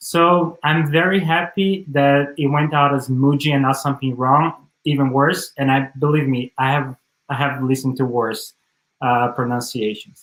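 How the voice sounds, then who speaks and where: A man with a Brazilian accent talks at a moderate pace in a fairly high voice. His intonation is fairly even and his loudness very even. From Santo André, São Paulo, Brazil. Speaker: speaker giving a talk.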